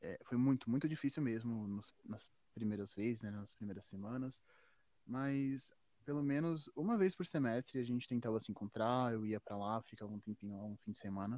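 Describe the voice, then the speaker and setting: At a moderate pace, a man speaks at medium pitch with a dark, mellow tone and ordinary pitch variation over a quiet background. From Minas Gerais, Brazil. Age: 20s. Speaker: photographer. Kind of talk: interview. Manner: halting, with repetitions.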